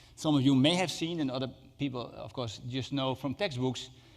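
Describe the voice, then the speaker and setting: There is audible room echo. A man speaks at a fairly high pitch with ordinary pitch variation. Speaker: HIV researcher. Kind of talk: conference lecture. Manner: fast; halting, many fillers.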